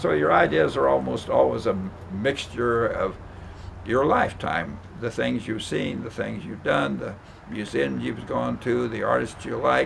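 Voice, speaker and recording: Amid noticeable background noise and audible room echo, a man with a fairly low pitch speaks at a fairly slow pace with very wide pitch swings. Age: 90s. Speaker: rug maker. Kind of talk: tutorial. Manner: halting.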